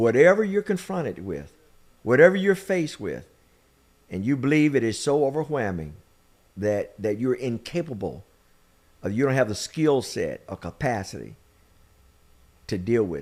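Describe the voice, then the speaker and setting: A man with an American accent at a moderate pace, with very wide pitch swings, big swings in loudness, and long, frequent pauses. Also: medium pitch for a man, very clean recording, silent background. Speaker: podcast host and minister. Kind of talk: interview with sermon-style encouragement. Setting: studio.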